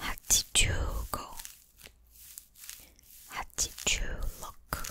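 Whispering and soft-spoken, a woman goes at a fairly slow pace, the sound dry with no echo and light background noise present. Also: big swings in loudness. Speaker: ASMR creator. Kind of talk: ASMR counting to sleep. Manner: soft, whispered. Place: home room. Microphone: studio mic.

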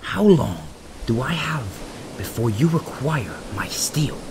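A man at medium pitch puts on a character voice over clear background noise. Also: fairly slow pace.

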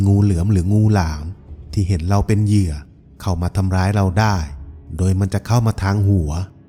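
Over music in the background, a man speaks with a fairly low pitch and ordinary pitch variation. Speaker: voice-over artist. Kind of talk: documentary-style folklore narration.

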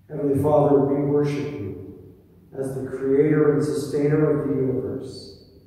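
A man talks in a room with strong echo, his intonation fairly even. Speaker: pastor leading worship. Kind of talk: spoken prayer. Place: church.

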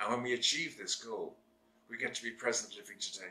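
This man talks at a fairly quick pace in a bright, sharp tone with fairly even intonation. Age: 60s. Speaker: therapist and video blogger. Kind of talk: monologue to camera. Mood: earnest, serious, reflective. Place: home room.

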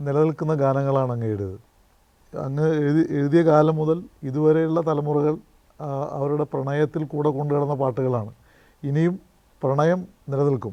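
His fairly high pitch carries a dark, mellow tone as this man speaks with fairly even intonation. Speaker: politician and journalist. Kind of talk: interview conversation.

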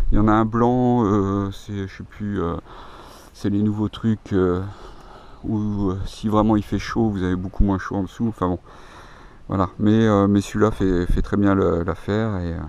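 A man's fairly low voice at a fairly slow pace, with long, frequent pauses and a dry sound free of echo. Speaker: YouTuber, camper van owner; YouTuber. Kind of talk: tutorial. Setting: outdoors. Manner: halting. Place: open country. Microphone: phone near.

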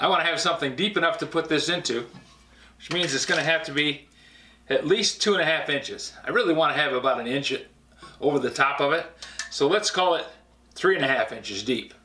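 Amid audible room echo, a man talks at a very fast pace with ordinary pitch variation. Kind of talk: tutorial. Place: workshop.

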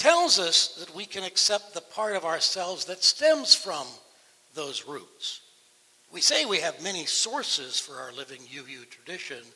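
With an American accent, a man speaks at a moderate pace with a high pitch. His voice shows very wide pitch swings and big swings in loudness. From United States (Massachusetts). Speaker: Unitarian Universalist minister. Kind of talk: sermon delivered to a congregation. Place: church. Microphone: headset.

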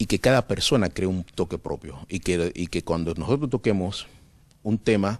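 A man speaks in a very deep, low pitch, the sound dry with no echo. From Cuba. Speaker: concert pianist and composer; interviewee. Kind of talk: interview. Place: stage. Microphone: handheld.

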